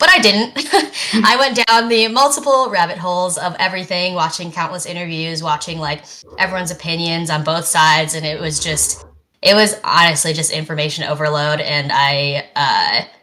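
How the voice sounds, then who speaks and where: A woman speaks with a fairly low pitch and a bright, sharp tone. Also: lively intonation, moderate pace. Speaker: podcast co-host. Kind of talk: casual podcast discussion. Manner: hesitant, many fillers.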